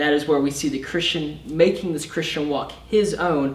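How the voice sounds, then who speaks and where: Amid audible room echo, a man speaks at a moderate pace with ordinary pitch variation. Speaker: summer intern preacher. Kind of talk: sermon. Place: stage.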